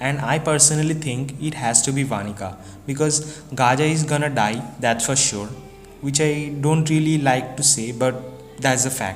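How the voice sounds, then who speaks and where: With music in the background, a man speaks at a moderate pace in a fairly high voice. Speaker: anime manga reviewer. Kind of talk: casual talk to camera. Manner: droopy, flat.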